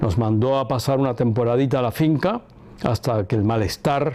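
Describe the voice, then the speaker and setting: An ordinary speaking voice, this man talks at a moderate pace with a medium pitch. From Cuba. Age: 60s. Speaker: son of a former head of state. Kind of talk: interview testimony. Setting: filmed interview.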